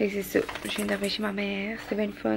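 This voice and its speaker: A woman talks at a very fast pace with a Quebec accent. Noticeable background noise sits behind her. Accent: Québécois French. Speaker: vlogger. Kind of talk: casual vlog talk to camera.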